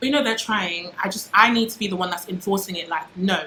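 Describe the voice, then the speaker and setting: Noticeable background noise sits behind a woman with a medium pitch. Her tone is animated, with ordinary pitch variation. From UK. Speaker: YouTuber. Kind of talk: casual vlog monologue.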